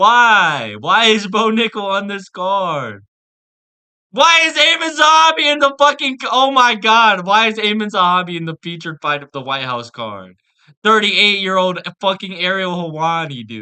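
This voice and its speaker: Shouting in a raised, projected voice, a man with a high, bright, sharp tone sounds animated at a moderate pace, his pitch swinging very widely and his loudness shifting sharply. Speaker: MMA content creator. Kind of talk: rant. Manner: animated, yelling.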